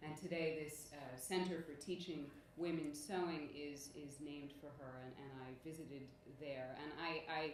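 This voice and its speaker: A woman with a very deep, low pitch speaks at a moderate pace in a flat monotone, her loudness swinging widely. Audible room echo and noticeable background noise surround her. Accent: American. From United States, France and Algeria. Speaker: academic speaker. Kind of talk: conference presentation. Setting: conference with audience.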